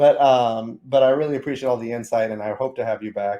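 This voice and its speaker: Speaking very fast, a man with a medium pitch has a dark, mellow tone. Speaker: podcast host, oncologist. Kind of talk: podcast interview.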